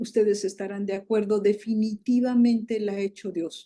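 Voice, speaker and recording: On a very clean recording with a silent background, a woman speaks in a fairly high pitch with a dark, mellow tone and fairly even intonation. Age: 60s. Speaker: prophet and show host. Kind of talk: panel discussion.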